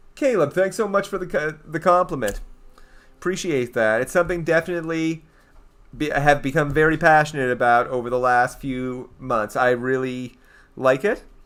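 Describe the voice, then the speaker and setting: With lively intonation, a fairly high-pitched man talks at a moderate pace. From eastern Canada. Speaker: gaming streamer. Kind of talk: casual live stream chat. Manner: animated.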